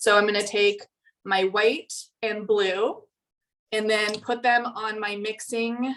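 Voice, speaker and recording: Her voice fairly high, a woman speaks at a very slow pace. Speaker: artist teaching painting. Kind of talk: tutorial.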